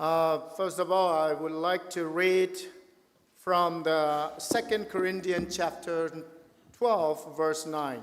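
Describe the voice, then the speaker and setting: Speaking at a very slow pace, a man with a high pitch keeps his intonation fairly even. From Chin State, Burma. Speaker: pastor. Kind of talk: testimony. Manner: halting.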